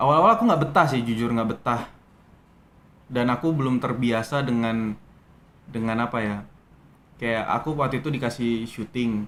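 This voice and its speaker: Long, frequent pauses break up a man's speech at a moderate pace. His medium-pitched voice keeps a fairly even intonation. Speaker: actor. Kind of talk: interview. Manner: hesitant, many fillers.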